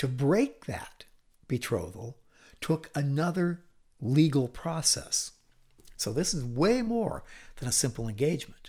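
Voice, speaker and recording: A man talks at a fairly high pitch and a fairly slow pace, his voice somewhat breathy. His pitch swings very widely, with long, frequent pauses, in a very clean recording over a silent background. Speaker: Bible teacher. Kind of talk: Bible teaching lecture.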